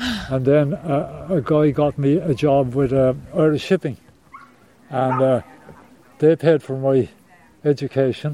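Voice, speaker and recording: A voice with a Cork accent speaks at a fairly slow pace and with fairly even intonation. Background noise is noticeable. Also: man. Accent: Cork Irish. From Ireland, Cork. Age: 70s. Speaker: retired lighthouse keeper and charity fundraiser. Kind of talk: interview, personal storytelling. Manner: halting.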